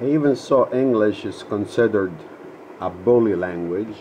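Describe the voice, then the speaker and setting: A man with an Italian accent and lively intonation, music in the background. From Calabria, Italy. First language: Italian (Calabrian dialect). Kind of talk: casual talk to camera.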